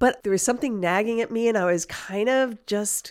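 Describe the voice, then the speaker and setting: A normal speaking voice from a woman at a medium pitch, with an American accent, in a very clean recording with a silent background. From US, New York City then Chicago. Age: 60s. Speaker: long-term expat. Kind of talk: casual chat interview.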